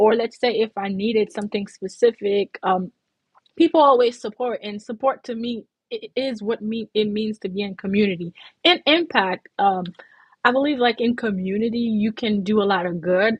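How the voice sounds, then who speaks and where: A somewhat breathy woman's voice, fairly high, at a moderate pace with ordinary pitch variation. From Haiti. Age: 40s. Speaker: community leader and consultant. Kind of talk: talk show interview.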